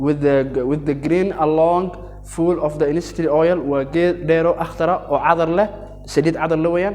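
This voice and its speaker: A man with an Arabic accent speaks at a moderate pace in a fairly high pitch and fairly even intonation, with noticeable background noise and audible room echo. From Yemen. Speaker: teacher. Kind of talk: lecture. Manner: halting.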